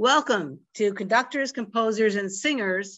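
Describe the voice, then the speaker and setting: An unremarkable speaking voice from a woman, fairly high in pitch, with ordinary pitch variation, a moderate pace and a quiet background. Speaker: library program host. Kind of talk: introduction and closing remarks. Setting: video call. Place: home room. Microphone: video call.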